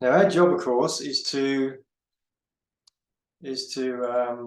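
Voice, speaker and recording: A man talks at a very slow pace and medium pitch. His pitch varies in an ordinary way. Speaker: forex trader and market analyst. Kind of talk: trading tutorial. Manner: halting, many fillers and repeats.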